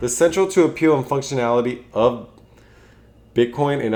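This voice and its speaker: Mumbling at a fairly quick pace, a man speaks with lively intonation. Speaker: finance YouTuber and podcast host. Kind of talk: casual solo explainer video. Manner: halting.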